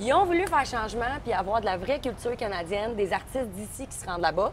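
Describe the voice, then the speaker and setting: Music plays behind a woman talking very fast with a Quebec accent and lively intonation. Her pitch is fairly high, and her loudness swings widely. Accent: Québécois French. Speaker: singer-songwriter. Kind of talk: casual chat. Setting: outdoor restaurant terrace. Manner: animated.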